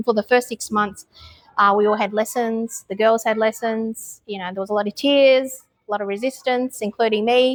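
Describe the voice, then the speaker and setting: Speaking with an Australian accent, a woman uses a fairly high voice at a fairly quick pace with ordinary pitch variation, the sound dry and close with no echo. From Australia, Melbourne. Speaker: expat mother. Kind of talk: interview. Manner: hesitant with many fillers.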